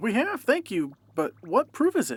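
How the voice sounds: This cartoonish character voice carries a slightly husky edge. Its pitch swings very widely at a moderate pace. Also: woman.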